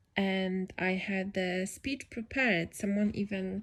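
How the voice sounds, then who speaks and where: Speaking with a non-native accent, a woman uses a medium pitch and a somewhat breathy voice. She goes at a very slow pace on a very clean recording with a silent background. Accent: non-native accent, self-described. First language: not English. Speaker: podcaster. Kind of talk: casual solo podcast monologue. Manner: improvised, hesitant with fillers.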